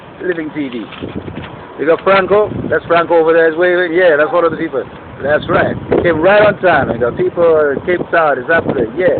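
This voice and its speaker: Through noticeable background noise, a man talks at a fairly quick pace in a high voice with ordinary pitch variation. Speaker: video blogger and musician. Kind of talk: casual vlog monologue. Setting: outdoors on a rooftop. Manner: fast; animated.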